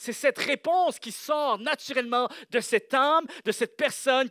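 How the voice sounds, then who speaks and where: A man speaks at an extremely high pitch and a fairly slow pace, with ordinary pitch variation and an animated, bright, sharp tone. The sound is dry and close, with no echo. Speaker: pastor. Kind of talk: sermon. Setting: church with congregation.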